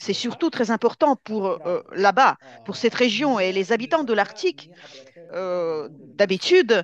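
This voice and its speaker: Recorded dry and close with no echo against a quiet background, a woman with a Russian accent speaks at a fairly slow pace with lively intonation. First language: Russian (speaking French). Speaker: Arctic researcher and speaker at an exhibition. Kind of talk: Q&A answer at an exhibition opening. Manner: halting, many hesitations.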